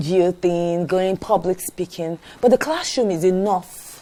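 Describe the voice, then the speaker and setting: Over noticeable background noise, a woman speaks at a moderate pace. Her medium pitch shows ordinary variation. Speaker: teacher. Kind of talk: interview. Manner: halting.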